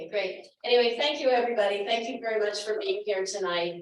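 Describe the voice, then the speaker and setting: Amid audible room echo, a woman talks at a fairly quick pace and medium pitch, with ordinary pitch variation and big swings in loudness. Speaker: finance committee chair. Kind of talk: town hall presentation.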